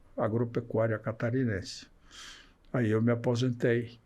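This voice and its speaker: This man's voice sits at a medium pitch with a dark, mellow tone, recorded very cleanly against a silent background. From Rio Grande do Sul, Brazil. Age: 80s+. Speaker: journalist and former radio broadcaster. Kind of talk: podcast interview answer.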